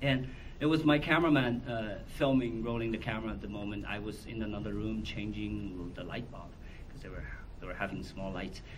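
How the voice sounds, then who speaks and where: Someone with a Chinese accent speaks at a moderate pace, with audible room echo. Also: man. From China, Wuhan. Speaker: documentary filmmaker. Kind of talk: Q&A at film screening. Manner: halting.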